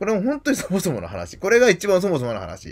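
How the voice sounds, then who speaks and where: At a very fast pace, a man gets his words out. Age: 40s. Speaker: YouTuber; video blogger. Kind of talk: monologue. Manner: halting. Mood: earnest, somewhat aggrieved. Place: home room. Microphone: webcam.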